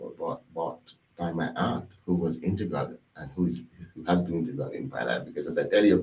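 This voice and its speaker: Big swings in loudness mark this man's speech in a Jamaican accent. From Jamaica, Westmoreland. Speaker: executive chef. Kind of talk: interview. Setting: studio. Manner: fast; halting, repeats words.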